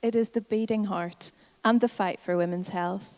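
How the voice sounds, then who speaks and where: Heard in a dry, close sound with no echo, a woman with a Northern Irish accent speaks with ordinary pitch variation. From Northern Ireland. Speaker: health advocacy campaigner. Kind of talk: conference talk.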